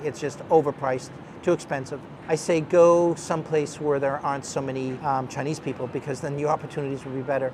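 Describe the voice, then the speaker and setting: Very fast, fairly high-pitched man in an American accent with monotone, flat intonation, over noticeable background noise. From US Northeast, Boston area. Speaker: business executive. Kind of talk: interview.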